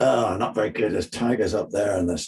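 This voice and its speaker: This man's voice is fairly low and somewhat breathy. He talks at a moderate pace with ordinary pitch variation. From Northern Ireland, Belfast. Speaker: sports psychologist and children's book author. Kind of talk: interview; storytelling.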